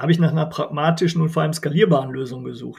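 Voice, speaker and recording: A man speaks in a plain, everyday voice, fairly high in pitch. His intonation stays fairly even. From Germany, Bergisches Land (North Rhine-Westphalia). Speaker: non-profit association chairman. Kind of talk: interview.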